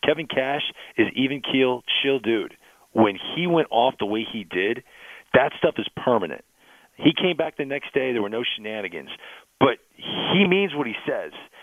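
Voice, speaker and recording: With lively intonation, an ordinary speaking voice keeps to a moderate speed. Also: man, medium pitch for a man. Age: 40s. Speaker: baseball analyst. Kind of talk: sports radio interview.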